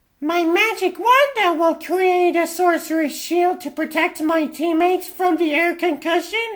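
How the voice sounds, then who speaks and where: A squeaky, put-on character voice at a moderate pace with hardly any pauses. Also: man, extremely high pitch for a man. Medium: fan dub. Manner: calm, confident.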